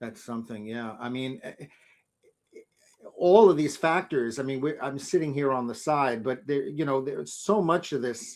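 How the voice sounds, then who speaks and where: A man with an American accent, fairly high-pitched, at a moderate pace, with ordinary pitch variation and big swings in loudness. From New York City. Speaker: interviewer. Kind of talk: interview. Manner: halting.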